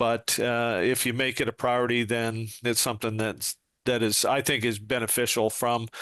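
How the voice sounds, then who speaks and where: Against a quiet background, a man with a normal speaking voice talks at a medium pitch and a moderate pace. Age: 60s. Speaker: retired police sergeant and trainer. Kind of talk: podcast interview.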